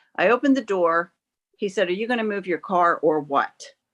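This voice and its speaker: Against a quiet background, a woman uses a normal speaking voice at a medium pitch, with lively intonation, a moderate pace and a dry, close sound with no echo. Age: 60s. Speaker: member of the public giving testimony at a hearing. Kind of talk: testimony. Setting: video call.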